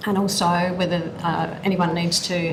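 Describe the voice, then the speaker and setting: A woman with an Australian accent speaks at a moderate pace in a fairly low, monotone, flat voice, with noticeable background noise and audible room echo. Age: 60s. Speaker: aged care worker. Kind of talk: witness testimony.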